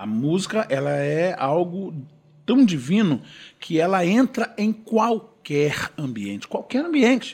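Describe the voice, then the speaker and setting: A man with a high voice speaks very slowly, his pitch swinging very widely. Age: 50s. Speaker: gospel singer. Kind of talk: casual chat.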